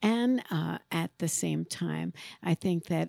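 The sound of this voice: A woman speaks with a New York accent. The sound is dry and close, with no echo. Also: very clean recording, silent background.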